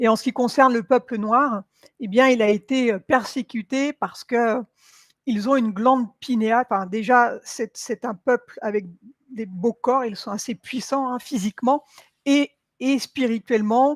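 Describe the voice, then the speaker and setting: A fairly slow pace carries through a very clean recording with a silent background. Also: woman, high pitch for a woman, fairly even intonation, dry, close sound with no echo. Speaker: hypnotherapist and esoteric live streamer. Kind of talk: live Q&A stream. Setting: livestream with chat. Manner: hesitant, many fillers.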